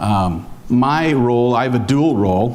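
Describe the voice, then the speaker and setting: A man with an American accent speaks with audible room echo. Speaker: foundation investment officer. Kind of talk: conference talk. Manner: hesitant, many fillers.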